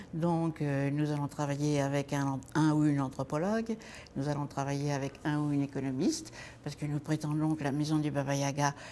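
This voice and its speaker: A woman speaks at a moderate pace with a very deep, low pitch. Her tone is dark and mellow, and her intonation fairly even. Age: 80s+. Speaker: activist, founder of a senior women's housing project. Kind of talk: interview monologue. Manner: halting, many hesitations.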